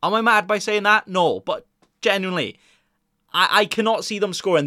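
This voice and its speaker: Speaking at a moderate pace, a man has a bright, sharp tone and a Welsh accent. The recording is very clean, with a silent background. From Wales. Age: 20s. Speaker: fantasy football podcaster. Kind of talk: casual chat. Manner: conversational, unscripted.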